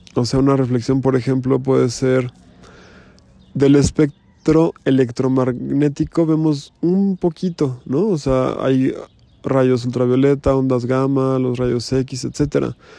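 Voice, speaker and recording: A man's dark, mellow tone at a very slow pace, with fairly even intonation and very even loudness. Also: medium pitch for a man. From Mexico City. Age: 40s. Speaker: podcaster. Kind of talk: reflective monologue.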